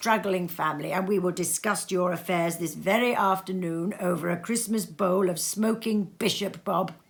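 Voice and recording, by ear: The pitch varies an ordinary amount as someone reads aloud in a natural voice.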